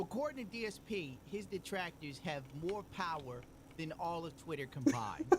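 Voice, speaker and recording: The speaker talks at a fairly slow pace in a New York accent. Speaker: commentary YouTuber. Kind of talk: commentary video.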